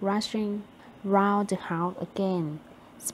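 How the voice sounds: Fairly even intonation in a natural reading voice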